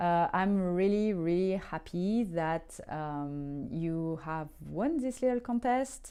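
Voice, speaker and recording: Her pitch fairly low and her tone dark and mellow, a woman with a French accent speaks at a very slow pace using lively intonation. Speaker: tarot reader. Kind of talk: tarot reading. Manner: hesitant, many fillers.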